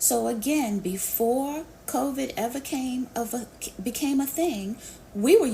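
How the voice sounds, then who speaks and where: There is noticeable background noise behind this woman. She has an American accent and ordinary pitch variation. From New York City. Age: 50s. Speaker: business coach. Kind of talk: live Q&A interview. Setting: live online audio session.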